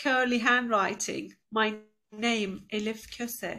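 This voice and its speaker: A woman's bright, sharp tone with a Turkish accent, at a very slow pace. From Turkey. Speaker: entrepreneur, business owner. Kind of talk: interview, motivational talk. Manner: passionate, inspirational.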